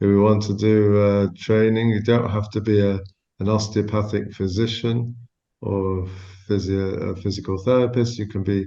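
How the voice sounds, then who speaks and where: In a room with audible echo, a man with a fairly low pitch and a dark, mellow tone talks at a moderate pace with monotone, flat intonation. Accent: Manchester. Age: 60s. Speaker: osteopath. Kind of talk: casual chat.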